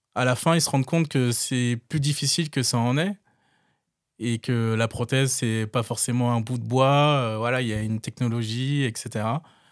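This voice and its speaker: The voice moves at a moderate pace with fairly even intonation on a very clean recording with a silent background. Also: man, medium pitch for a man. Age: 30s. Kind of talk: interview testimony. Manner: hesitant, with fillers and repetitions.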